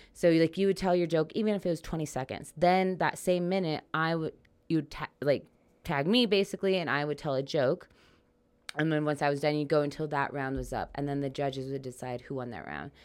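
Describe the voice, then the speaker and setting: On a very clean recording with a silent background, a woman with a very deep, low pitch talks at a fairly quick pace with ordinary pitch variation. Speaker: stand-up comedian. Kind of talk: casual chat. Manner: fast.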